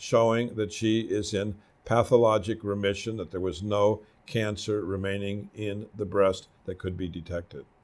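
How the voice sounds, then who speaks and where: The recording is very clean, with a silent background. A man with a plain, everyday voice and fairly low pitch speaks at a moderate pace. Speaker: doctor presenting patient cases. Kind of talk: medical case presentation of slides.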